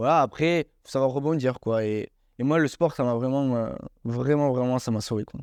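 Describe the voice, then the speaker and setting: A man with a normal speaking voice at medium pitch and a moderate pace, fairly even intonation, a dry, close sound with no echo and a quiet background. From southwestern France (Hautes-Pyrénées). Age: 20s. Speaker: amputee athlete. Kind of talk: interview.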